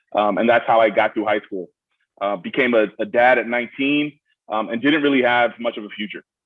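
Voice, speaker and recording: At a fairly quick pace, a man with a Brooklyn accent talks at a medium pitch with fairly even intonation. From Miami, Florida (born in Brooklyn). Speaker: student veteran. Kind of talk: panel Q&A introduction. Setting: video call.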